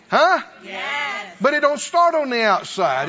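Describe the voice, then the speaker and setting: Noticeable background noise surrounds a man speaking. His tone is animated and his intonation lively. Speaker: preacher. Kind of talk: sermon. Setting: church. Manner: call-and-response.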